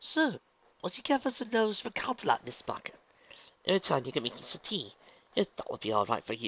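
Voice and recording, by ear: A put-on character voice with a fairly bright tone, very wide pitch swings and a fairly quick pace.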